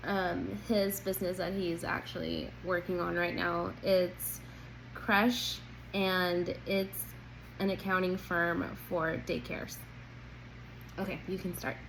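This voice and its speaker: Speaking at a very slow pace with long, frequent pauses, a woman is heard with audible room echo. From Colombia, then California from age ten. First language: Spanish. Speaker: job interview candidate, accountant. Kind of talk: mock job interview answer.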